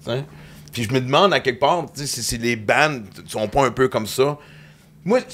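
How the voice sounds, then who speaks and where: With a Quebec accent, a man speaks at medium pitch and a moderate pace, using ordinary pitch variation and long, frequent pauses. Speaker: comedian and podcast host. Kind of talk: casual chat.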